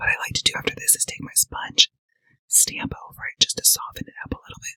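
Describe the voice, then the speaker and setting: A man whispers at a very fast pace. The sound is dry and close with no echo. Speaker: makeup artist. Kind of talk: makeup tutorial to camera. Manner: playful, sassy.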